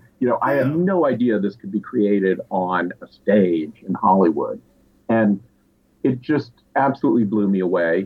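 A man with an American accent and an ordinary speaking voice talks at a moderate pace, with a fairly low pitch and lively intonation. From US South, Asheville, North Carolina. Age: 60s. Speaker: filmmaker. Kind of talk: casual interview storytelling.

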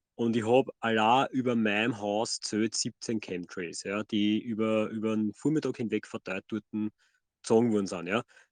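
At a moderate pace, a plain, everyday voice speaks with fairly even intonation, the sound dry and close with no echo over a quiet background. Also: man, fairly low pitch for a man. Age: 30s. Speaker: podcast co-host. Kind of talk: casual chat.

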